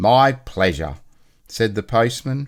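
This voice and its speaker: A man with an Australian accent speaks at a fairly slow pace. The recording is very clean, with a silent background. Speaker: storyteller. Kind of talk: children's book read-aloud.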